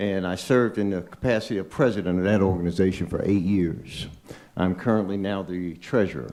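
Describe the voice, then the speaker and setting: His pitch runs fairly low. The man's tone is dark and mellow. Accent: American. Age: 60s. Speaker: public commenter at board meeting. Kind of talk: public comment speech. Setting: board meeting.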